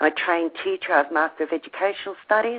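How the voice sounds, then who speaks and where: The speaker has an Australian accent. Their intonation is fairly even. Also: woman. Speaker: teacher and esoteric researcher. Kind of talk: podcast interview.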